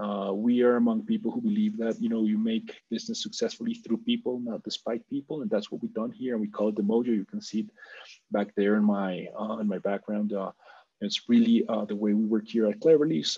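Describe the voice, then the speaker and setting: A man with a Spanish accent talks at a fairly quick pace. The background is quiet. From Colombia. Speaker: business executive. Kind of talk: interview.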